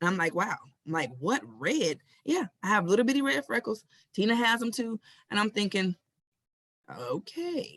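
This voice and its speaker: A woman with an American accent at medium pitch, very wide pitch swings and vocal fry, moderate pace broken by long, frequent pauses, in a dry, close sound with no echo. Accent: Southern US, getting stronger. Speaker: podcast host. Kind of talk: casual interview chat. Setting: live stream.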